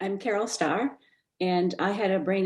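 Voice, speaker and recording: A woman with an unremarkable speaking voice, medium pitch and a moderate pace. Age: 50s. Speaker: brain injury survivor and advocate. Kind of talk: panel discussion.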